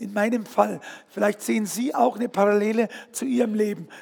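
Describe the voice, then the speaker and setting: An animated, high-pitched male voice amid noticeable background noise. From Bavaria, Fürstenfeldbruck. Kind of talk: testimony. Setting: stage with audience.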